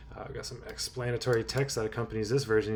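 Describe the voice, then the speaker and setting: A man's somewhat breathy voice at a medium pitch, with ordinary pitch variation. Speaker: indie game developer. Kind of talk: casual devlog narration over screen. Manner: casual, hesitant.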